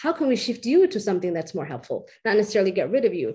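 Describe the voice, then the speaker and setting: A woman talks very fast with an American accent, her voice somewhat breathy with a dark, mellow tone. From US, California and Washington DC. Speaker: nonprofit board member, former refugee. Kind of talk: panel discussion.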